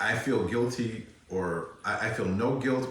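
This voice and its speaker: A man's voice with ordinary pitch variation, amid noticeable background noise and audible room echo. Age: 60s. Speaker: holistic wellness practitioner and yoga teacher. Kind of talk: interview.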